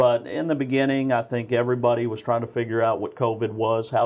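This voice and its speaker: A man speaks in an ordinary speaking voice at a fairly quick pace, with an American accent, a medium pitch and fairly even intonation. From Texas (Spring, Houston area). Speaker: police constable. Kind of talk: interview.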